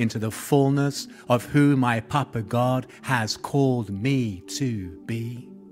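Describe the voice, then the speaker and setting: A man talks with ordinary pitch variation while music plays in the background. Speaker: spoken word poet. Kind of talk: spoken word poetry performance.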